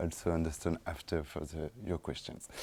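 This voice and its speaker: In a French accent, a man speaks with a dark, mellow tone. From France, suburbs of Lyon. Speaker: documentary film director. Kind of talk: post-screening talk, Q&A. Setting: stage with audience after film screening. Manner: halting, many fillers and repetitions.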